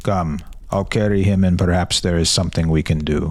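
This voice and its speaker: Putting on a character voice, a man talks at a fairly quick pace in a very deep, low register. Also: fairly even intonation. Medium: read story. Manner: brisk, authoritative.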